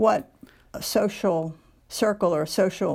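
In a very clean recording with a silent background, a woman with an American accent speaks at a fairly slow pace, using a fairly low pitch, ordinary pitch variation and vocal fry. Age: 70s. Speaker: author.

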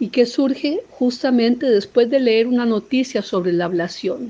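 A woman with a dark, mellow tone and fairly high pitch speaks at a fairly slow pace with ordinary pitch variation. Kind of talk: poetry reading, solemn and intimate, after a spoken introduction. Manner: measured, lyrical, slow and expressive.

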